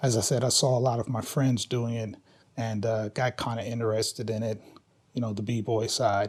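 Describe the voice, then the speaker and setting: A man speaks at a moderate pace in a medium pitch, somewhat breathy. His intonation is monotone and flat. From Kentucky, Louisville. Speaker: hip hop dance teacher. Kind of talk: interview. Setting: filmed interview. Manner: casual.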